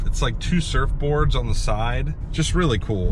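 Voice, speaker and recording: Over noticeable background noise, a man talks at a fairly slow pace, the sound dry with no echo. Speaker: reseller vlogger. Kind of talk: casual vlog chat. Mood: pleased about a deal. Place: car. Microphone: phone near.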